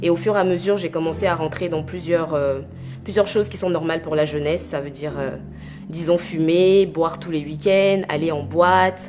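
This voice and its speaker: A woman's fairly low voice at a moderate pace, with fairly even intonation and music in the background. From Côte d'Ivoire (Abidjan), teens in Normandy, France. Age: 20s. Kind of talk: testimony. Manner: hesitant, many filler pauses.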